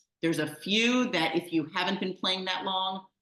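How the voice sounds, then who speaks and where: A woman speaks with a New York accent at a fairly low pitch. Her pitch varies in an ordinary way. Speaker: mahjong teacher. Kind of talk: online class. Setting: video call. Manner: fast.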